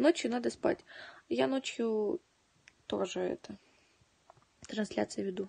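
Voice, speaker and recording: A woman speaks at a very slow pace. She leaves long, frequent pauses. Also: quiet background. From Donetsk, eastern Ukraine. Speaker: livestreamer. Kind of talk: casual chat. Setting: home livestream. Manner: animated. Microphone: phone near.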